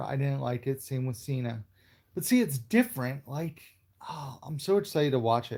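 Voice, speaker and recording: This man's voice has a dark, mellow tone and sits fairly high in pitch. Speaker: movie YouTuber. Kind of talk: live stream chat with viewers. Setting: live stream at home. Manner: casual, hesitant with fillers.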